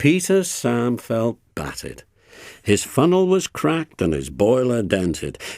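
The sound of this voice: The voice reads aloud. It is an unforced reading voice.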